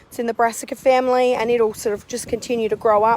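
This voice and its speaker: Loud and high-pitched, a woman speaks in an Australian accent with monotone, flat intonation. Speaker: community gardener. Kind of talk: garden tour. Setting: outdoors.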